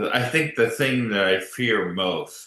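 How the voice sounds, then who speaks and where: Speaking very slowly, the man lets his pitch rise and fall in an ordinary way. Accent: American. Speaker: ALS patient and advocate. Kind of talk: panel discussion. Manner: halting.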